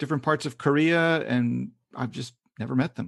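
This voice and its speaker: A man with a Kentucky accent, fairly high in pitch, at a fairly slow pace. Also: quiet background. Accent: American, Kentucky. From Kentucky, US South. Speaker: freelance English teaching consultant. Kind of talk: casual interview.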